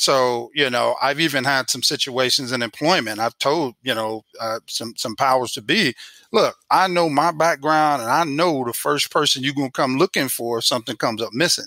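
A man's bright, sharp voice at medium pitch and moderate pace, with ordinary pitch variation, in a dry, close sound with no echo.

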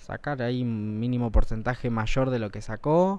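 Using an ordinary speaking voice, a man speaks at a fairly slow pace with lively intonation. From Argentina, Malvinas Argentinas (Buenos Aires); Argentina. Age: 20s. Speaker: school board candidate; TV talk show guest. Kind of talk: TV interview. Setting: TV studio. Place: studio. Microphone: lapel.

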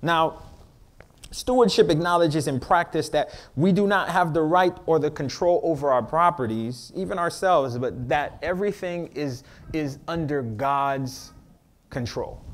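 With an animated tone, a man talks at a moderate pace, his fairly high pitch showing ordinary variation. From Miami, Florida. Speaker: pastor. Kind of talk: sermon. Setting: church. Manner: call-and-response.

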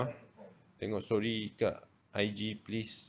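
Over light background noise, a man with a fairly low pitch speaks at a fairly slow pace. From Malaysia. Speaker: social media livestreamer. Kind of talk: casual chat. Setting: livestream. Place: home room. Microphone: phone near.

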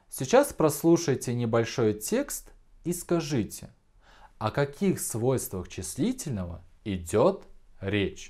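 Very slow and full of long, frequent pauses, the dark, mellow voice swings very widely in pitch on a very clean recording with a silent background. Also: man, fairly high pitch for a man. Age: 20s. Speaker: school teacher. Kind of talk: video lesson. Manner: clear, deliberate.

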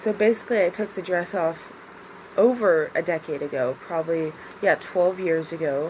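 A woman with an unremarkable speaking voice talks at a moderate pace and fairly low pitch, with ordinary pitch variation over light background noise. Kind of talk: casual vlog chat. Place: home room. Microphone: phone near.

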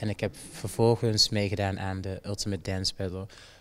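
A man with a fairly low pitch speaks in a monotone, flat way at a moderate pace. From Jamaica. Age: 20s. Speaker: dancer. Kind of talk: interview. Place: hall. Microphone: handheld.

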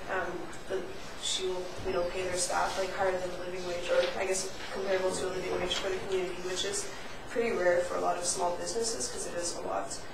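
The speech goes at a very fast pace amid noticeable background noise and audible room echo. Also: woman. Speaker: council member. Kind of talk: meeting discussion. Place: meeting room. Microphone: podium.

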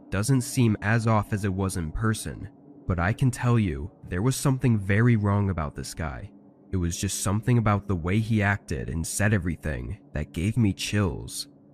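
A man's fairly low voice in a dramatic tone, with lively intonation at a moderate pace. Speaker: narrator reading listener-submitted horror stories. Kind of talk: scripted first-person horror narration, true-crime style. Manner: tense, hushed, building suspense with steady measured pacing; dramatic, intensifying on frightening moments.

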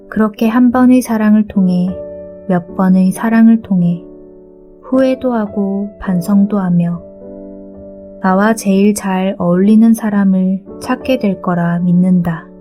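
With music in the background, the voice moves at a very slow pace in a calm, soothing tone and fairly even intonation. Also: woman, medium pitch for a woman. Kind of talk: sleep audiobook reading, calm book narration for falling asleep. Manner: soft, calm, soothing, relaxing.

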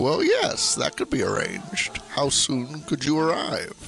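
A man's put-on character voice at a moderate pace, with clear background noise. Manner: calm, measured.

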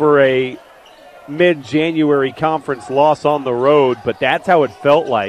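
A fairly slow pace with ordinary pitch variation, a dry sound with no echo and light background noise. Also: man. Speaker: sports play-by-play announcer. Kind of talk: basketball play-by-play broadcast. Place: stadium. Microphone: headset.

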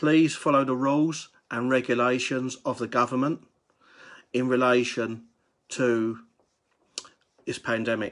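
Against a quiet background, a man talks in a monotone, flat way, taking long, frequent pauses. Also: fairly slow pace. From United Kingdom. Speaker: wedding toastmaster. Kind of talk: casual live talk to camera. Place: home room. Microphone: phone near.

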